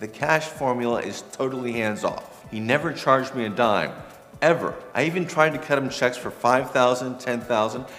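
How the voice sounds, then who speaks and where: With music in the background and audible room echo, a man speaks fairly quickly at a medium pitch. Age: 40s. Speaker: testimonial giver. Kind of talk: testimony.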